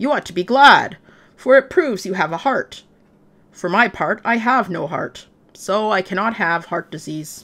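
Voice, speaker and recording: Using a put-on character voice, a woman speaks at a moderate pace and medium pitch on a very clean recording with a silent background. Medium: read story.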